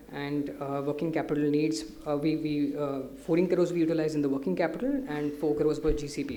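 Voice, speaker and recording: A man with a fairly high pitch talks at a very fast pace with hardly any pauses and fairly even intonation. Noticeable background noise and audible room echo surround him. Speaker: company director presenting to investors. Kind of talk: investor presentation.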